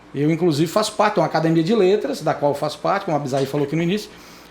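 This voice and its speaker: A man is speaking. His intonation is lively. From Brazil, Dianópolis, southeastern Tocantins. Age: 50s. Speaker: lawyer and newspaper columnist. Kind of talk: interview podcast conversation. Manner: animated.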